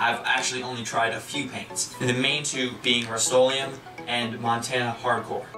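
A man talks with clear music in the background. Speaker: hobby tutorial host. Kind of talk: tutorial. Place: home room. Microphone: phone near.

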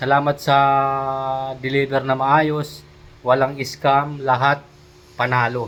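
Pitched fairly high, a man speaks at a fairly slow pace. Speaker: vlogger. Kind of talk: product review vlog.

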